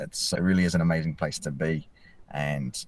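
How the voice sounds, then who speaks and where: A man with a New Zealand accent speaks in a very deep, low pitch. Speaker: mental health field officer. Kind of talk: podcast interview. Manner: fast.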